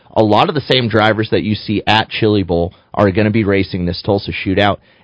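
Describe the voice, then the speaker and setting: A man talks at a fairly quick pace. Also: hardly any pauses. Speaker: sprint car driver. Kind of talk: casual radio chat. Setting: studio. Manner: animated, chatty.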